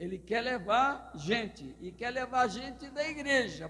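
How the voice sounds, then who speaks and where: At a fairly slow pace, a man speaks with lively intonation and an extremely high pitch. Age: 70s. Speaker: pastor. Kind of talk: sermon.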